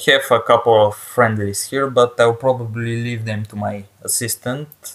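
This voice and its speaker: A man with a strong non-native accent speaks at a very slow pace. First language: not English. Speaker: gaming YouTuber. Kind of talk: let's play commentary. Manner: halting, with many fillers and repetitions.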